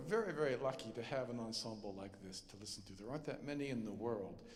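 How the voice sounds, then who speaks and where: Audible room echo surrounds speech that moves at a moderate pace with ordinary pitch variation. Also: man. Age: 60s. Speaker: composer. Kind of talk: concert stage talk. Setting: concert stage with audience. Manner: halting, many fillers.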